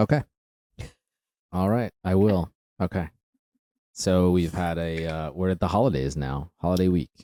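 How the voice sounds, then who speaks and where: Very deep, low male voice with a dark, mellow tone and ordinary pitch variation, dry and close with no echo. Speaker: podcast co-host. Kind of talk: casual chat. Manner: slow; many pauses.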